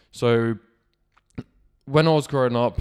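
In a very clean recording with a silent background, a man with a Cornish accent talks at a moderate pace with ordinary pitch variation. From Cornwall, England. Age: 20s. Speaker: podcaster. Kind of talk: personal monologue.

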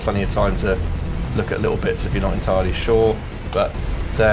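The voice heard here is a natural reading voice.

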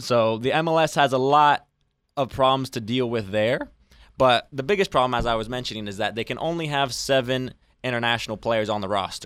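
With an American accent, a man speaks in an ordinary speaking voice at medium pitch and a fairly quick pace, with ordinary pitch variation, on a very clean recording with a silent background. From Arizona. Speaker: college soccer player and radio intern. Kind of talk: casual chat.

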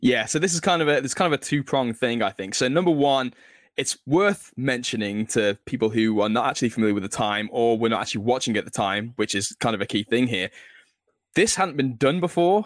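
A man's medium-pitched, normal speaking voice with lively intonation, in a very clean recording with a silent background and a dry, close sound with no echo. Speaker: author. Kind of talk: interview conversation.

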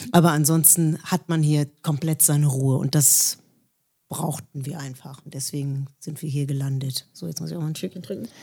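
A woman speaks in a very deep, low pitch with a dark, mellow tone, somewhat breathy and with fairly even intonation, her loudness swinging widely. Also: moderate pace. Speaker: singer. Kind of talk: interview.

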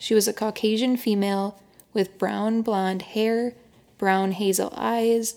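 A woman talks at a fairly slow pace in a normal speaking voice. Her intonation is fairly even. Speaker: podcast host. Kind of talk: scripted narration.

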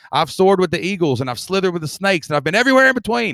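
Recorded very cleanly against a silent background, a man with a Southern Appalachian accent swings his pitch very widely in a dry, close sound with no echo. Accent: Southern Appalachian US, noticeable. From Southeast Kentucky. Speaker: membership business teacher. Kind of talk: interview. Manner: upbeat.

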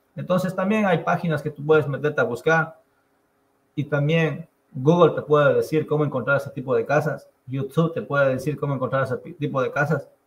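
A somewhat breathy man with a fairly high pitch, fairly even intonation and a fairly quick pace. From Ecuador, Andean highlands (Chimborazo). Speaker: real estate investor. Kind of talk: interview.

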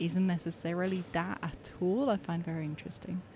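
A woman speaks at a moderate pace and a medium pitch, with fairly even intonation. Her tone is dark and mellow, and somewhat breathy. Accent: Swiss German. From Switzerland, German-speaking north. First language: Swiss German. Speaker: artist. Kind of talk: casual chat. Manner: hesitant, many fillers.

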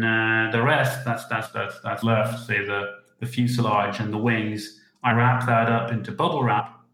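This man's voice holds a medium pitch. He keeps a moderate pace. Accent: Dutch. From Netherlands. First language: Dutch. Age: 40s. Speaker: hobbyist model designer. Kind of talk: interview. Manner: halting.

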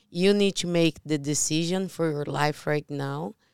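A woman with a Portuguese accent speaks at a fairly slow pace with fairly even intonation, her voice dry and close with no echo on a very clean recording with a silent background. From Brazil. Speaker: podcast co-host, real estate investor. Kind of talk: casual chat.

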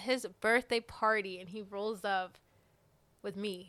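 A woman speaks with an American accent. Her voice is fairly high, with a bright, sharp tone. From US South, Alabama. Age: 20s. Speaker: podcast co-host. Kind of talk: casual chat.

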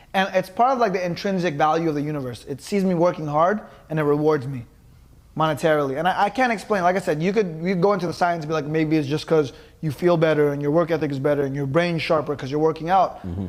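Talking at a very fast pace, the man has a fairly high pitch. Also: ordinary pitch variation. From Los Angeles, California. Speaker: podcast co-host. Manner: no filter.

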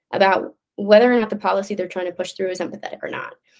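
Speaking with a Midwestern US accent, a woman keeps a medium pitch and fairly even intonation. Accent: General American, Midwestern. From US Midwest, Omaha, Nebraska. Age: young. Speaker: performer and political commentator. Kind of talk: casual interview chat.

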